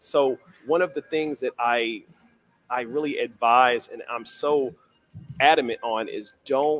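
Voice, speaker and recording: A man speaks at a medium pitch with ordinary pitch variation, the sound dry and close with no echo and music playing in the background. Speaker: writer and public speaker. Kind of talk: interview.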